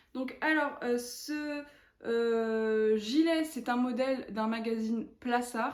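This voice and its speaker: In a room with audible echo, a woman talks at a very slow pace and a high pitch. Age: 20s. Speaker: knitting vlogger. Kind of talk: casual chat. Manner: hesitant, many fillers.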